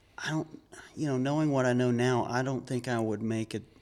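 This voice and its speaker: In an American accent, an ordinary speaking voice moves at a moderate pace with fairly even intonation. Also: man. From Georgia, US. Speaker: church member. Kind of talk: testimony.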